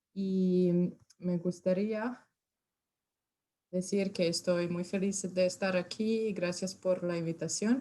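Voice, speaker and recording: A woman speaks very slowly with a Serbian accent, her dark, mellow tone sitting at a medium pitch, her intonation fairly even, and long, frequent pauses breaking up her speech. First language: Serbian (speaking Spanish). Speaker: university extension specialist. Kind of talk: lecture. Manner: halting.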